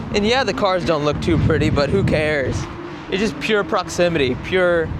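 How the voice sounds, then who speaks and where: With an American accent, a man speaks high in pitch at a moderate pace, his intonation lively and loudness very even, against audible room echo and noticeable background noise. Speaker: YouTuber, drifting enthusiast. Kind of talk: travel vlog, casual talk to camera. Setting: outdoors. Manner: animated.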